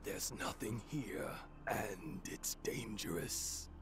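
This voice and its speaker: A man uses a put-on character voice, fairly low-pitched and at a fairly slow pace. Loud background noise runs behind him. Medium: video game. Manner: grave, brooding.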